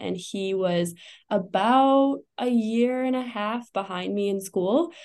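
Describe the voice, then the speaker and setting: A woman with an American accent, an unremarkable speaking voice, ordinary pitch variation and a fairly slow pace, set against a quiet background. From Wisconsin. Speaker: chiropractor. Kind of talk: podcast interview.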